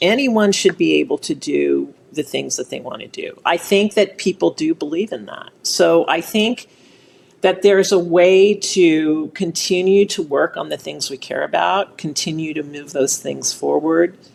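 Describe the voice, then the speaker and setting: There are big swings in loudness as a woman talks at a moderate pace. Noticeable background noise runs behind her. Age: 60s. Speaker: impact investing nonprofit co-founder. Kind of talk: podcast interview.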